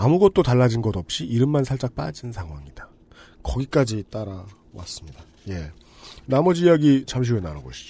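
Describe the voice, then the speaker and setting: The voice has a dark, mellow tone and is somewhat breathy, moving at a fairly quick pace with very wide pitch swings. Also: man, medium pitch for a man, big swings in loudness. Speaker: podcast host and producer. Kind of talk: casual discussion.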